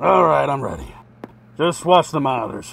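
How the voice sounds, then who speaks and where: In a cartoonish character voice, a man speaks at a fairly slow pace with a medium pitch. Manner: nervous, exasperated.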